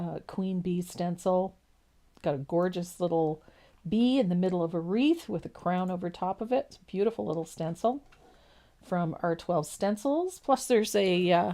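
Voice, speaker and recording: Her tone is dark and mellow, with a medium pitch and a slight East Coast Canadian accent. The woman keeps a moderate pace, with lively intonation and big swings in loudness. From East Coast of Canada. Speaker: painting instructor. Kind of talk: tutorial. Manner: casual, chatty.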